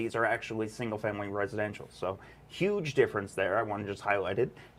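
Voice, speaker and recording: Amid noticeable background noise, a man's voice moves through very wide pitch swings. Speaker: podcast host. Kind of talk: casual interview livestream. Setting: live stream.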